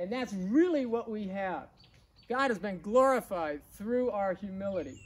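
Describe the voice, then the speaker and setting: A man with a high pitch and lively intonation speaks at a fairly slow pace. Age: 60s. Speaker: preacher. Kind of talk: sermon. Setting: outdoors. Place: garden. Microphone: camera far.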